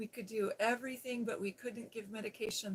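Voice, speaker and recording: Soft-spoken and somewhat breathy, a woman with an American accent talks at a fairly high pitch in a soothing tone with monotone, flat intonation. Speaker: ASMR creator and former nurse. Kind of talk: casual storytelling about her nursing past. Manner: soft-spoken, soothing.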